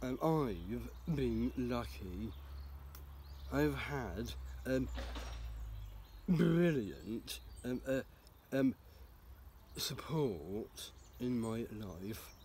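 Over light background noise, a man with a fairly low, somewhat breathy voice of dark, mellow tone speaks at a very slow pace, with very wide pitch swings and long, frequent pauses, the sound dry with no echo. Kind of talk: personal statement to camera. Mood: earnest and sincere. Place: garden. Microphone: phone near.

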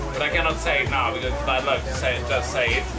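Clear music sounds behind the speaker. He is a man. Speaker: sailing instructor. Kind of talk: casual vlog chat. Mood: playful storytelling. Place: boat. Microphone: lapel.

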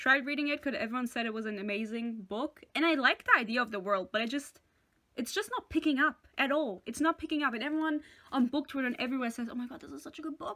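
In a raised, projected voice, a woman talks at a high pitch and very fast pace, with ordinary pitch variation and big swings in loudness, over a quiet background. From France. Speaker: booktuber; book vlogger. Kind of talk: casual vlog monologue. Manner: animated. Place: home room. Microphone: webcam.

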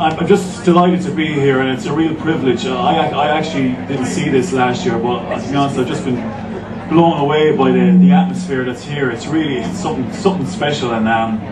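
Fairly quick speech from a man, set against noticeable background noise. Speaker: guest. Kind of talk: public speech. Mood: earnest, inspired. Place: stage.

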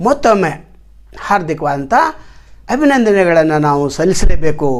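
The intonation is lively, set against noticeable background noise. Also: man. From India, Chikkodi taluk, Belagavi district, northern Karnataka. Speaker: YouTuber and Kannada activist. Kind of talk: personal vlog monologue.

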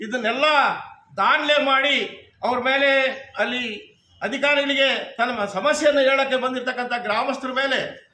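Amid audible room echo, a man projects a raised voice at an extremely high pitch with fairly even intonation. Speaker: farmer activist. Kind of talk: protest statement to press.

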